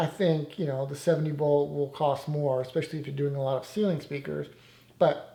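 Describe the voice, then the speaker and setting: Somewhat breathy and dark, mellow in tone, this man's fairly high voice keeps a fairly even intonation. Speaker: audio installer. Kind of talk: tutorial. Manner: halting.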